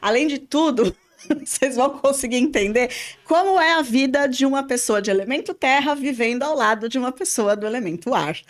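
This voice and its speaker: At a moderate pace, the speaker uses lively intonation and an animated tone. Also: woman, high pitch for a woman. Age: 50s. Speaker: podcast host and spiritual therapist. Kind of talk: casual podcast chat. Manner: talkative, animated.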